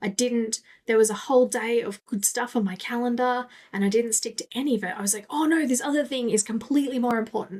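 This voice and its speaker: A woman speaks with an Australian accent at a very fast pace. Her pitch is fairly high, with ordinary variation. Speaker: business coach podcast host. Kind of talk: solo podcast monologue.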